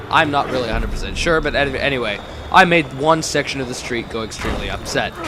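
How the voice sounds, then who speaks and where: Background noise is clearly audible. Over it, a man speaks extremely fast. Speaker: gaming video commentator. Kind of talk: let's play commentary. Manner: casual, rambling with fillers.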